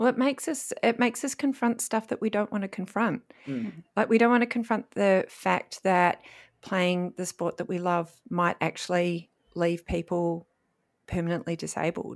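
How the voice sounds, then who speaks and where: With an Australian accent, a woman speaks at a moderate pace and medium pitch. Her intonation is lively, on a very clean recording with a silent background. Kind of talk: casual chat.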